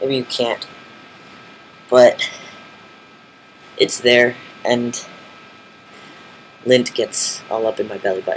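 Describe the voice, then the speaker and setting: Speaking at a very slow pace, a man leaves long, frequent pauses over noticeable background noise. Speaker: vlogger. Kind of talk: casual video diary. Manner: halting, many fillers.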